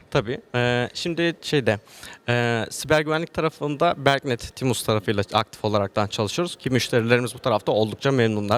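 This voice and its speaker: A man of medium pitch talks at a fairly quick pace with ordinary pitch variation, in a dry, close sound with no echo. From Turkey, Antalya. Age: 20s. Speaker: agricultural engineer and IT business owner. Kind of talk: interview. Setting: event venue, hotel. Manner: hesitant, many fillers.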